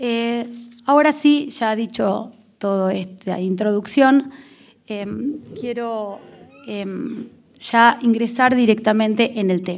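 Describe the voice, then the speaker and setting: A woman speaks at a very slow pace with long, frequent pauses, at a fairly high pitch with ordinary pitch variation. Her loudness swings widely. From Argentina. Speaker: prosecutor; panelist. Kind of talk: lecture. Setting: auditorium with audience. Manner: formal. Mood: earnest, argumentative. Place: hall. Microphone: podium.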